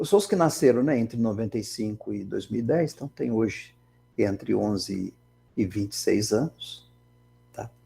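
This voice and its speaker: Vocal fry runs through a man's dark, mellow, medium-pitched voice as he speaks at a moderate pace with ordinary pitch variation. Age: 60s. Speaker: engineering professor. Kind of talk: lecture. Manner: conversational, many fillers.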